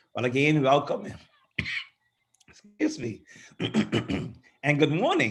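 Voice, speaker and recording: Hoarse put-on character voice from a man, fairly high in pitch, at a fairly slow pace with long, frequent pauses. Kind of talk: formal welcoming remarks.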